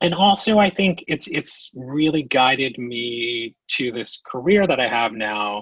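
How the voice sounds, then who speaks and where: Dry and close with no echo, a man's medium-pitched voice moves at a fairly slow pace, with lively intonation and hardly any pauses. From New Jersey, born in Queens. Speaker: theater producing director. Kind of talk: podcast interview.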